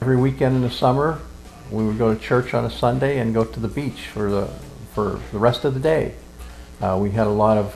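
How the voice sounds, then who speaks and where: With music behind him, a man talks fairly quickly at a medium pitch with lively intonation. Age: 70s. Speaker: interviewee recalling childhood. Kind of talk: oral history interview.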